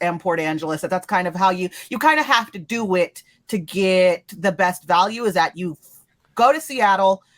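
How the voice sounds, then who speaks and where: An unremarkable speaking voice: a woman with an American accent, medium pitch, lively intonation and moderate pace, in a dry, close sound with no echo. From California. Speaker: podcast co-host. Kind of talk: casual chat.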